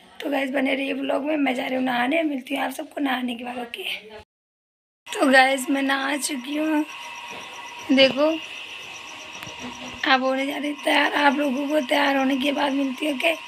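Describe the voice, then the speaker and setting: Audible room echo surrounds a woman's high-pitched voice with monotone, flat intonation. She speaks at a fairly slow pace, with long, frequent pauses. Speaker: vlogger. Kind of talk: casual vlog chat.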